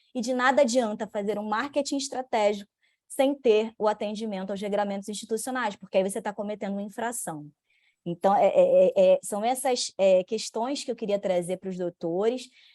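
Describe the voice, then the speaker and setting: In a Rio de Janeiro accent, a woman with a fairly high pitch and a dark, mellow tone talks at a moderate pace with ordinary pitch variation, in a dry, close sound with no echo and a quiet background. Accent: Rio de Janeiro (carioca). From Brazil, Rio de Janeiro. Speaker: lawyer and bar association commission head. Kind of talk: event opening and speaker introduction.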